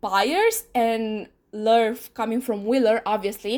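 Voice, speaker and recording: In a Romanian accent, a woman speaks at a very slow pace and a fairly high pitch on a very clean recording with a silent background. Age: 20s. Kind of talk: casual talk to camera. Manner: hesitant, many fillers.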